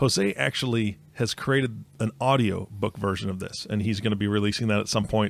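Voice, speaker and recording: Man with an ordinary speaking voice, fairly low in pitch, talking at a fairly quick pace with fairly even intonation and hardly any pauses. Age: 40s. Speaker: podcast host. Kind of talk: casual chat.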